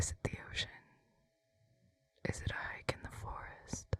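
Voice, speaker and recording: The voice is a whisper. It moves at a fairly slow pace. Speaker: ASMR artist. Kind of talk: ASMR whisper vlog. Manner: soft whispered.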